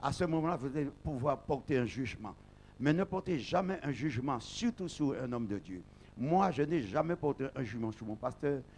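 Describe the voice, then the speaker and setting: Lively intonation from a man speaking at a medium pitch. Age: 60s. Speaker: pastor. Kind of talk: testimony speech at an ordination service. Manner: halting.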